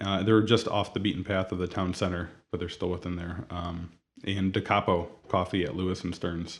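In a Midwestern American accent, a man with a very deep, low pitch speaks at a moderate pace. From Toledo, Ohio, US Midwest. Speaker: donut shop owner. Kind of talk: interview.

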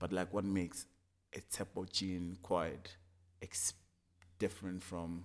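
A man's very deep, low voice in a monotone, flat delivery. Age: 20s. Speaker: fashion designer. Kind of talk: casual chat.

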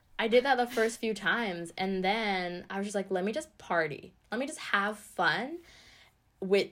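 A woman speaks in a normal speaking voice at a medium pitch. She has a Canadian accent. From Canada (Ottawa), born in Sri Lanka. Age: 20s. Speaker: musician and arts program coordinator. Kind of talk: casual interview chat. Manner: fast, laughs often.

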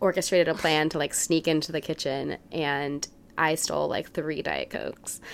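A woman speaks at a moderate pace with an American accent, in a very deep, low voice with vocal fry. Her intonation is monotone and flat, and the recording is very clean with a silent background. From US South, New Orleans. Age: 20s. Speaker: digital media employee. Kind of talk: casual chat.

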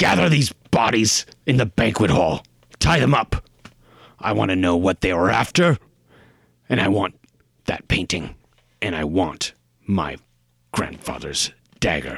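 With long, frequent pauses, a man delivers a put-on character voice at a very deep, low pitch. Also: moderate pace. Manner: commanding, curt.

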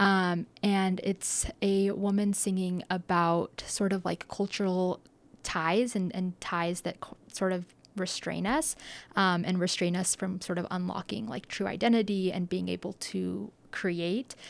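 A woman's medium-pitched voice moves fairly slowly, her intonation fairly even. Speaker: student climate organizer. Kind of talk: radio panel interview. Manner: hesitant with many fillers.

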